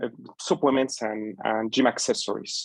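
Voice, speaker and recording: With a Spanish accent, a man speaks at a fairly slow pace with fairly even intonation in a dry, close sound with no echo. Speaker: small business owner. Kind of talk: webinar presentation.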